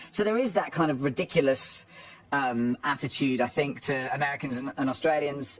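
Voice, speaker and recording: A man with an English accent, lively intonation and a moderate pace, over noticeable background noise. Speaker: football commentator. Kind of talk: casual chat.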